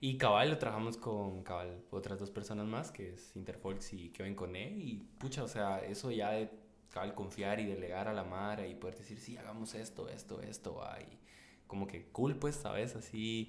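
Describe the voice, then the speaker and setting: Audible room echo surrounds a man speaking at a moderate pace. His pitch is fairly low, with ordinary variation. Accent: Guatemalan. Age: 20s. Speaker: photographer and videographer. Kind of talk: casual chat.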